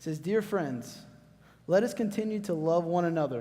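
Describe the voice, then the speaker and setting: Audible room echo surrounds a man with a Southern US accent who speaks at a moderate pace with ordinary pitch variation. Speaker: youth speaker. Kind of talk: sermon. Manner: loud; casual, conversational.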